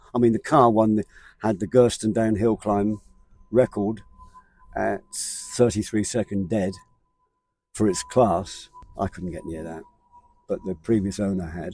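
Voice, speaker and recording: With music in the background, the speaker goes at a fairly slow pace with long, frequent pauses, big swings in loudness and ordinary pitch variation. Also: man, fairly low pitch for a man. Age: 70s. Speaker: motorsport marshal and amateur racer. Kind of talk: casual interview chat. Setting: outdoors at a rally event. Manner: halting, repetitive.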